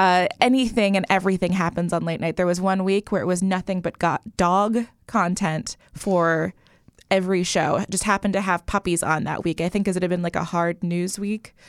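A woman speaks at a fairly quick pace in a medium pitch. The sound is dry and close with no echo, and the recording is very clean with a silent background. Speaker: podcast host and TV writer. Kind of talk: casual chat. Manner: animated.

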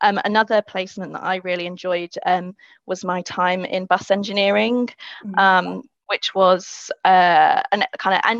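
A woman with a London accent, in a dry, close sound with no echo. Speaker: engineering graduate. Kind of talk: webinar interview.

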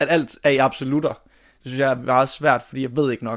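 A man talks at a moderate pace and medium pitch with fairly even intonation, in a very clean recording with a silent background. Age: 20s. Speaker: drama student. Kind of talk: interview. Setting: family holiday house.

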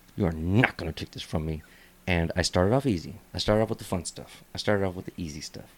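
Very deep and low, a man's voice races at a very fast pace with ordinary pitch variation on a very clean recording with a silent background. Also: big swings in loudness. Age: 30s. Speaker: comedian and podcast host. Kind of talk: casual chat. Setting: studio.

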